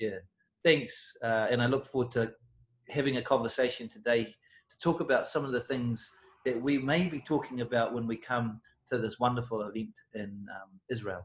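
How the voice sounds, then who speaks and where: With a New Zealand accent, a man talks at a moderate pace in a somewhat breathy, medium-pitched voice with ordinary pitch variation. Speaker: personal development coach. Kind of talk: interview.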